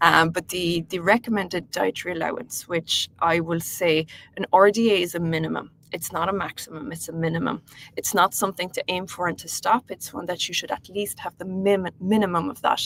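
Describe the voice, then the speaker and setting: At a fairly quick pace, a woman speaks in a fairly low voice with ordinary pitch variation. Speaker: health coach. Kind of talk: webinar presentation. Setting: online webinar. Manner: hesitant, many fillers.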